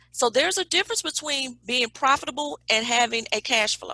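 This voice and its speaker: A woman speaks at a moderate pace with lively intonation and an animated, bright, sharp tone. The sound is dry and close with no echo. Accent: Southern US. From Alabama, US South. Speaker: business consultant. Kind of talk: webinar presentation. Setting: video call.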